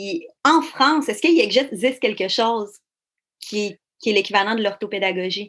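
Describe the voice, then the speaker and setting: A woman's fairly high voice with a Quebec accent, lively intonation and a moderate pace. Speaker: podcast host. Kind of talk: interview.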